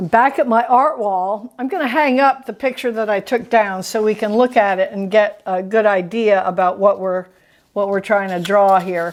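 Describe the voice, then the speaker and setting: Recorded very cleanly against a silent background, an unremarkable speaking voice moves at a moderate pace with ordinary pitch variation. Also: woman, medium pitch for a woman. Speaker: art teacher. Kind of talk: tutorial.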